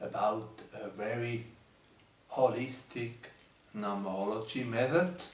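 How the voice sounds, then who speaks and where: With a German accent, a man speaks at a fairly slow pace with ordinary pitch variation and long, frequent pauses, in a room with audible echo and noticeable background noise. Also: medium pitch for a man. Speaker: numerology teacher. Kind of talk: video presentation. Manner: halting, many fillers.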